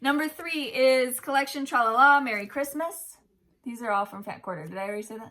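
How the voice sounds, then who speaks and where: A woman talks at a fairly quick pace with a high pitch, lively intonation and big swings in loudness. Her tone is animated, bright and sharp. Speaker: cross-stitch video host. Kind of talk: casual chat, giveaway announcement.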